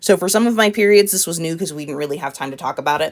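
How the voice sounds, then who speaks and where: The voice has ordinary pitch variation in a very clean recording with a silent background. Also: woman. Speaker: math teacher. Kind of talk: tutorial. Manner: casual.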